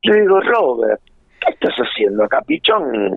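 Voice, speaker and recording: At a fairly slow pace, a man speaks in a Rioplatense accent. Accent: Argentine Rioplatense Spanish. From Argentina, Buenos Aires province (Junín). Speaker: musician and music producer. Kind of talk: interview. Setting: phone call.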